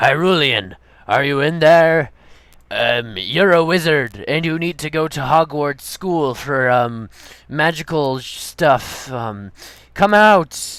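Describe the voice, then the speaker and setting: Put-on character voice at a fairly slow pace, on a very clean recording with a silent background. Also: man, fairly high pitch for a man. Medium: machinima. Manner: hesitant, halting.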